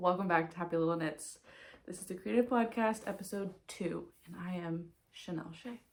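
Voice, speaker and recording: A soft-spoken woman talks at a moderate pace with a fairly low pitch. Her loudness swings widely. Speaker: knitting podcaster. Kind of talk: casual chat.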